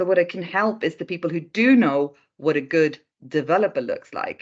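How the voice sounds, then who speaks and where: With a Swedish accent, a woman talks at a moderate pace with lively intonation against a quiet background. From Sweden, Stockholm. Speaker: recruitment consultant. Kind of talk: interview.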